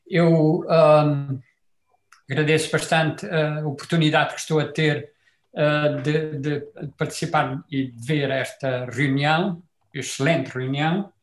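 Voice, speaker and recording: A somewhat breathy man speaks at a very slow pace in a fairly high pitch with monotone, flat intonation. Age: 70s. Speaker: retired chemistry professor. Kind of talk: comment in online debate. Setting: video call. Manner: halting, many fillers.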